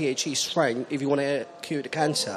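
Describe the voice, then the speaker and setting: A man talks at a fairly slow pace. Noticeable background noise runs under his voice. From Poland. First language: Polish. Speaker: audience member. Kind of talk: audience question.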